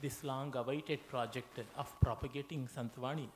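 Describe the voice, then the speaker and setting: This man's voice is somewhat breathy and fairly high in pitch, with ordinary pitch variation. He talks with a Kannada accent. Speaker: scholar, keynote speaker. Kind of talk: lecture. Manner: halting, frequent fillers and self-corrections.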